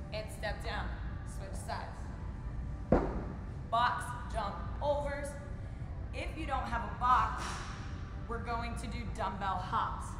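Over background music and audible room echo, a woman speaks at a very slow pace with long, frequent pauses. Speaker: fitness coach. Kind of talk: workout tutorial. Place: gym. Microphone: camera far.

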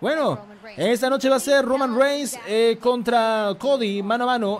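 Over light background noise, a man is shouting in an animated tone. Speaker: live stream commentator. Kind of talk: live wrestling commentary. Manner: fast, excitable play-by-play, rapid-fire action calls; animated, repetitive, shouting hype. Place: home room. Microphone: studio mic.

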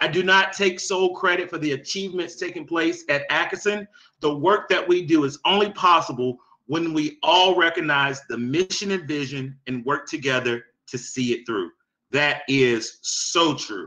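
Against a quiet background, a man speaks in a bright, sharp tone at a moderate pace with ordinary pitch variation. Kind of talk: meeting presentation, reading answers. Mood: upbeat, praising. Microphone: webcam.

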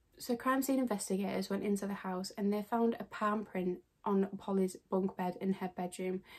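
A woman speaks with a British accent at medium pitch and a moderate pace. Her intonation is fairly even, and she leaves hardly any pauses. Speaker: true crime YouTuber. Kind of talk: true crime narration to camera.

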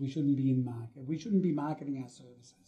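With an Australian accent, a man speaks at a fairly high pitch in a dark, mellow tone that is somewhat breathy. His pitch varies in an ordinary way, and the background is quiet. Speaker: dentist and practice consultant. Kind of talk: interview. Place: office.

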